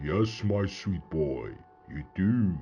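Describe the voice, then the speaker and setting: This man adopts a put-on character voice. It sits very deep and low. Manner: menacing.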